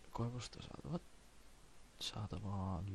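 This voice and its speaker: A man's very deep, low voice with vocal fry. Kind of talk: encyclopedia reading. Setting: cheap home microphone. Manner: soft-spoken.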